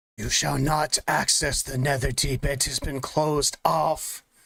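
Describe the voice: A man puts on a character voice, fairly high and raspy. He delivers it at a fairly slow pace.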